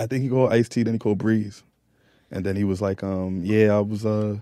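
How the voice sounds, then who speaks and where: A man with a New York accent, a dark, mellow tone and a fairly quick pace. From Queens, New York; raised in Phoenix. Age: 30s. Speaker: rapper. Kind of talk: casual interview chat. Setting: live podcast at Super Bowl event.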